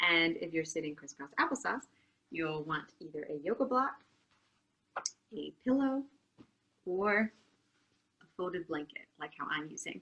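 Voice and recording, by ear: A woman talks at a fairly slow pace with long, frequent pauses and a low pitch. Her tone is bright and sharp, and her intonation is lively.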